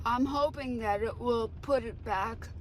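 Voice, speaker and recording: Audible room echo follows this woman's voice. She talks at a fairly slow pace. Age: 70s. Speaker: utility customer and petition creator. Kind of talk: news interview.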